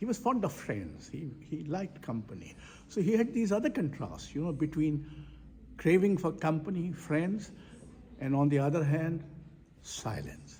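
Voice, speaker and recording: A man's fairly high-pitched voice, dark and mellow, with vocal fry, lively intonation and a moderate pace. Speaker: poet and foundation director. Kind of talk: interview. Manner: halting.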